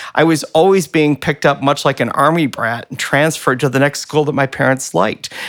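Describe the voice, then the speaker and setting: A man with an American accent talks at a fairly quick pace in a normal speaking voice, fairly high in pitch with ordinary pitch variation, on a very clean recording with a silent background. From Michigan, US (Flint). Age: 50s. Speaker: artist. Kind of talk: casual chat. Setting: office.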